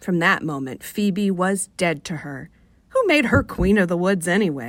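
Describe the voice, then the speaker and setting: With a Rochester accent, a woman speaks in a soothing tone at a fairly low pitch and moderate pace, her intonation lively, in a very clean recording with a silent background. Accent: Rochester, New York. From Rochester, New York. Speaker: fiction author. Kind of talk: short story reading on radio. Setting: radio studio.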